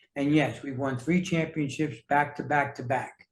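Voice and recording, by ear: A man talks at a moderate pace with a medium pitch and fairly even intonation. Room echo is audible.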